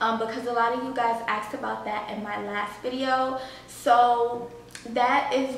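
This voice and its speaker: Over light background noise and audible room echo, a woman speaks in a high, flat, monotone voice. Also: fairly slow pace. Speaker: home vlogger. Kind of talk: casual vlog chat. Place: home room.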